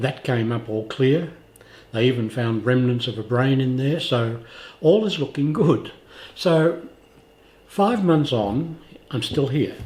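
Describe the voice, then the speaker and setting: With an Australian accent, a man of medium pitch talks at a fairly slow pace, somewhat breathy and lively in intonation, leaving long, frequent pauses. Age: 80s+. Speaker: vlogger with cancer. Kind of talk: video diary.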